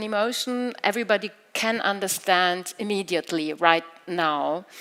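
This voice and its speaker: A woman with a German accent speaks at a moderate pace with ordinary pitch variation. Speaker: literary event moderator. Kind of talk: moderated literary talk. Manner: halting.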